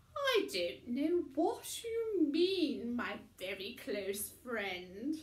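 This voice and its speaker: A woman puts on a character voice at a high pitch. She speaks at a very slow pace with very wide pitch swings. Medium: read story. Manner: affected, simpering.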